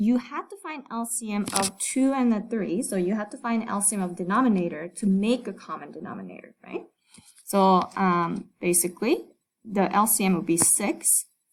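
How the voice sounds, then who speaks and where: A woman's somewhat breathy voice, medium in pitch, at a moderate pace with ordinary pitch variation. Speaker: math teacher. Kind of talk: lecture. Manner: hesitant, many fillers.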